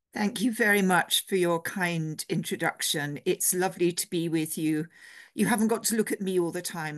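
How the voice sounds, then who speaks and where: A woman with an English accent speaks at medium pitch. The sound is dry and close with no echo, over a quiet background. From England. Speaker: theology professor and priest. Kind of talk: lecture.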